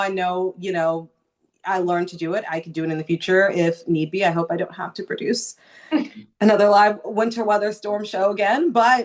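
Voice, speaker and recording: An unremarkable speaking voice with an American accent, at a moderate pace, with ordinary pitch variation and big swings in loudness. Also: woman. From Southern California. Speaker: news anchor. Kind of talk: interview answer.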